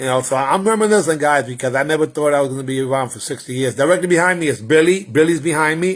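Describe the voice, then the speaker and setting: At a very fast pace with hardly any pauses, a man talks in an animated tone. His fairly high voice shows ordinary pitch variation. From New York City (the Bronx), Puerto Rican heritage. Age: 60s. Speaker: martial arts grandmaster. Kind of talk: casual livestream chat. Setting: livestream.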